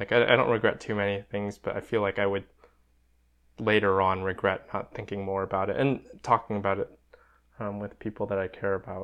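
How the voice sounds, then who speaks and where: A fairly quick delivery with long, frequent pauses and a flat, monotone intonation. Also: man, fairly low pitch for a man. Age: 20s. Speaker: podcast co-host. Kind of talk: casual chat.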